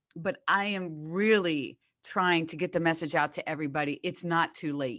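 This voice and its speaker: Against a quiet background, a woman with an unremarkable speaking voice talks at a moderate pace in a fairly low pitch, with ordinary pitch variation. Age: 60s. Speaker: fitness coach. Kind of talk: casual chat.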